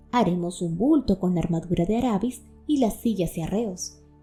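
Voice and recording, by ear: Someone reads the text out loud, and the voice sounds natural.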